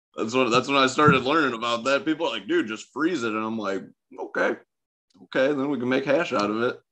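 At a fairly quick pace, a man talks in a normal speaking voice of medium pitch with ordinary pitch variation. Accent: American. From Michigan, partly Ohio. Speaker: cannabis grower. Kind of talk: casual chat.

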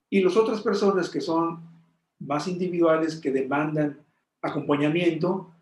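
Speaking at a fairly slow pace, a man uses fairly even intonation and a fairly high pitch. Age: 60s. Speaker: meditation teacher. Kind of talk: interview. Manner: halting.

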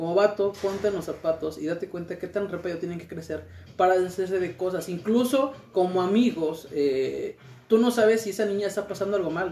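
Over noticeable background noise, a high-pitched man talks at a very fast pace with ordinary pitch variation. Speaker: tattoo studio member. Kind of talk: casual chat.

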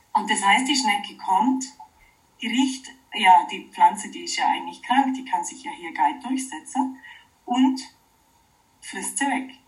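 Amid audible room echo, a high-pitched woman speaks at a fairly slow pace with long, frequent pauses, very wide pitch swings and big swings in loudness. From Oberallgäu, Bavaria (southern Germany). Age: 40s. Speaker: wood sculptor and permaculture teacher. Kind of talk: interview. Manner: halting, many fillers.

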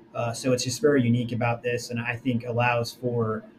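A man with an American accent speaks at a fairly quick pace in a medium pitch, with noticeable background noise. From New Jersey. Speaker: sports team marketing executive. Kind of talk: interview. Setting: recorded call, poor audio. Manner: hesitant, many fillers.

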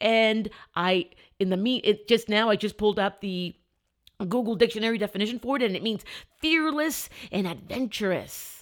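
On a very clean recording with a silent background, a woman talks in an animated tone at a moderate pace, her pitch varying in an ordinary way. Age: 40s. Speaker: mindset and law of attraction coach. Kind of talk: motivational solo podcast.

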